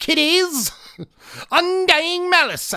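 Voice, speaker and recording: This is a put-on character voice at an extremely high pitch. It cackles throughout. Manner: cackling, creepy.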